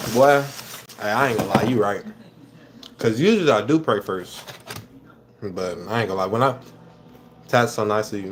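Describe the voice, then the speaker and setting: A man's fairly low voice in an American accent, with ordinary pitch variation, long, frequent pauses and noticeable background noise. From Minnesota. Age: 20s. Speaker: livestreamer. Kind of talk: casual livestream chat while eating. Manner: fast, hurried.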